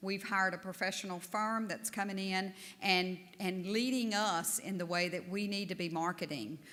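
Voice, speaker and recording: In a Southern US accent, a woman speaks at a moderate pace with medium pitch and fairly even intonation. Room echo is audible. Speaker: national association board leader. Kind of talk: conference speech.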